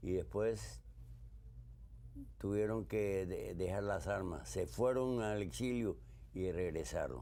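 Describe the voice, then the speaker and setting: A man with a very deep, low pitch and a dark, mellow tone speaks at a very slow pace, with very wide pitch swings, long, frequent pauses and audible room echo. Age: 80s+. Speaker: war veteran. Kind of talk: interview.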